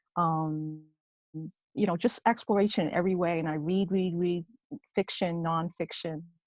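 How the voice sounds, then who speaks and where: The speaker keeps a moderate pace and fairly even intonation, with long, frequent pauses and a dry, close sound with no echo. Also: woman, fairly low pitch for a woman. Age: 60s. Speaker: mastermind group participant. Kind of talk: casual group discussion. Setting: video call. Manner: halting, many fillers and restarts.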